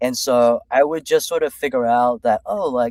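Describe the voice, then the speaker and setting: With a Californian accent, a man speaks at a medium pitch in a dry, close sound with no echo. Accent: American (California). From China, raised in California from early childhood. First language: Chinese. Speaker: executive coach. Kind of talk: interview. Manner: casual, many fillers.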